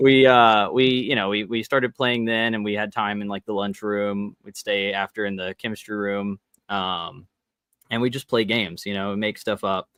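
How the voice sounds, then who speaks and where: At a moderate pace, a man talks in an unremarkable speaking voice, fairly low in pitch with fairly even intonation. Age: 20s. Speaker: tabletop game designer. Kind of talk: interview.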